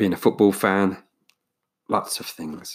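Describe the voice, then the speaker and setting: Someone speaks in an English accent at a fairly slow pace, with fairly even intonation. The recording is very clean, the background silent. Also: man. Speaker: podcast host. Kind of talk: casual solo monologue. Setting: home recording with USB microphone. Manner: hesitant, many fillers.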